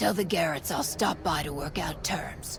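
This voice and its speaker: A put-on character voice moves at a moderate pace. Loud background noise is present. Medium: video game. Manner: gruff, sardonic.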